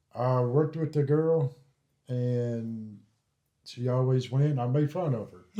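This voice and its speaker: A man of medium pitch with a Tennessee accent and a dark, mellow tone speaks at a fairly slow pace, with fairly even intonation, big swings in loudness and long, frequent pauses. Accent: Southern US (Tennessee). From US South, Columbia, Tennessee. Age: 40s. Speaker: ghost hunter. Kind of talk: casual interview, storytelling. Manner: halting.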